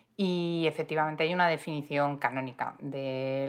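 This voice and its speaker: A woman's intonation stays fairly even as she speaks at a moderate pace. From Madrid, Spain. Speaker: podcast co-host. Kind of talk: casual chat.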